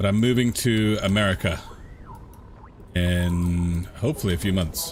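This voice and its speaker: Music plays behind a man talking at a fairly slow pace. His loudness stays very even throughout. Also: fairly low pitch for a man, ordinary pitch variation. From England, London. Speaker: gaming streamer. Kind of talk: casual live-stream chat.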